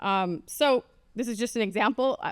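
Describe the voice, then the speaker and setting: On a very clean recording with a silent background, a woman's voice sounds dry and close with no echo, and her pitch varies in an ordinary way. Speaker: education professor. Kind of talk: conference presentation. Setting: room with audience, microphone. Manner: fast.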